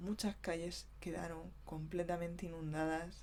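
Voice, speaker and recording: Soft-spoken, a woman talks at a very slow pace. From southeastern Spain (Vega Baja). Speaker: ASMR creator. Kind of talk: ASMR talk to camera about local flood.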